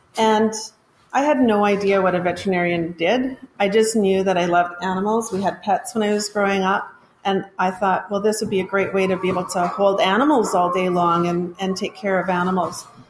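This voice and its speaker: A woman with fairly even intonation, over noticeable background noise. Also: medium pitch for a woman, fairly quick pace. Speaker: school assistant principal. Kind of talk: casual chat.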